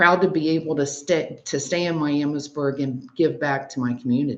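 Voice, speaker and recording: A woman with an American accent and a very deep, low pitch speaks at a moderate pace, her pitch varying in an ordinary way. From Ohio. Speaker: mayoral candidate. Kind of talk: candidate interview.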